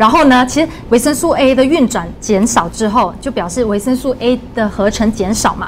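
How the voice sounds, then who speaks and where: A woman with a Malaysian accent speaks in a fairly high voice with hardly any pauses over light background noise. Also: ordinary pitch variation, moderate pace. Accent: Malaysian Mandarin. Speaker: dietitian. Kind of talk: livestream health talk, casual chat. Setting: studio livestream. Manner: lively, laughs often. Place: studio. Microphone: lapel.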